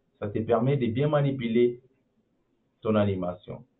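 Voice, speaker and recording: Speaking very slowly, a man has a non-native accent. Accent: non-native French, apologizes for his French. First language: English (speaking French). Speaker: animation tutorial creator. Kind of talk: tutorial. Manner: halting, many repetitions; casual, informal.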